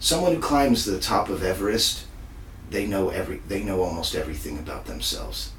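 Speaking at a fairly quick pace, a man with an American accent is heard with audible room echo. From Texas. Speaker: magician. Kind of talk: casual interview.

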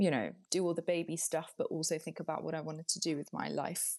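At a moderate speed, this woman talks in a plain, everyday voice. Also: quiet background. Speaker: beauty writer and podcaster. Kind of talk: casual interview.

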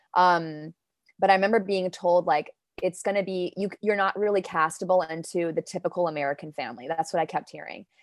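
A woman with an unremarkable speaking voice talks fairly quickly at a fairly low pitch with fairly even intonation. The recording is very clean with a silent background and a dry, close sound with no echo. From Denmark, now New York. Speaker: poet and actor. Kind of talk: poetry reading and casual interview.

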